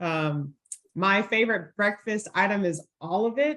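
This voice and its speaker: With an American accent, a woman has an unremarkable speaking voice at medium pitch with ordinary pitch variation. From Middle Tennessee, US South. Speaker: college football player relations director. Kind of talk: panel discussion.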